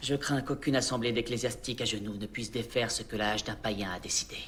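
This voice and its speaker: Speaking very fast, a man keeps a medium pitch and fairly even intonation. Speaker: voice actor. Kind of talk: dubbing demo reel. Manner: formal, measured. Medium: dub.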